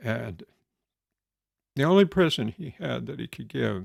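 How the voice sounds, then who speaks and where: With an American accent, a man uses vocal fry and very wide pitch swings at a fairly slow pace, in a dry, close sound with no echo. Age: old. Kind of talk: storytelling.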